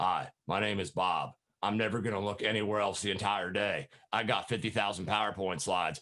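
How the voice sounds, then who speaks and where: Raspy and fairly low, a man's put-on character voice moves at a fairly quick pace on a very clean recording with a silent background. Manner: droning, monotone.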